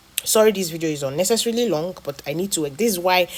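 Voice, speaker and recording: Against noticeable background noise, a woman talks in a fairly low pitch with ordinary pitch variation. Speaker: health educator. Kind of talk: health talk video. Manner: fast.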